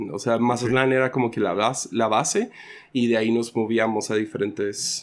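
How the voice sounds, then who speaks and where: A man's medium-pitched, monotone voice with flat intonation at a moderate pace, on a very clean recording with a silent background. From Sinaloa, Mexico (raised by American missionaries). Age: 30s. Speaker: pastor. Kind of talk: casual interview.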